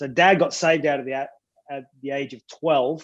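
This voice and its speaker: Speaking at a moderate pace with an Australian accent, a man keeps a monotone, flat intonation. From country Australia. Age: 40s. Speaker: pastor. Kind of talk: casual interview.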